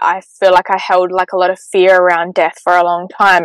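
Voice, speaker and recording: With a dry, close sound and no echo, a woman speaks at a medium pitch with an Australian accent. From South Australia, Port Lincoln. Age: 20s. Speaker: spiritual coach. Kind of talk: casual chat.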